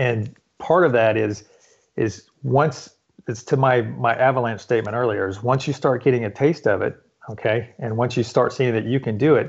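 A man at medium pitch, moderate pace and fairly even intonation. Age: 50s. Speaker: fitness coach. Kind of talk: interview. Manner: halting.

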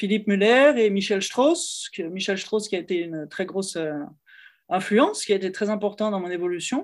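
At a moderate pace, a woman speaks in an unremarkable speaking voice, medium in pitch with ordinary pitch variation. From France, Lyon. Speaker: cellist and music teacher. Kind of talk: interview conversation.

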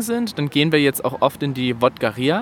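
Heard in a dry, close sound with no echo, a man with an ordinary speaking voice talks at a moderate pace, his fairly high pitch rising and falling in lively intonation. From Saxony, village near Bautzen. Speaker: podcast guest, podcaster. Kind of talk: casual chat.

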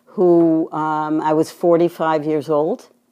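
Against a quiet background, a woman with a slight Boston accent speaks in a fairly low pitch and a dark, mellow tone. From Boston, US. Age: 70s. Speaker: retired psychiatric nurse. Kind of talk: interview.

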